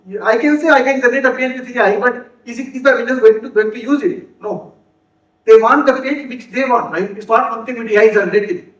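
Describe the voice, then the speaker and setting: A man talks very fast in an extremely high pitch with ordinary pitch variation. His loudness swings widely. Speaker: software developer and conference speaker. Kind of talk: conference talk. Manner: halting, with repeated words and self-corrections.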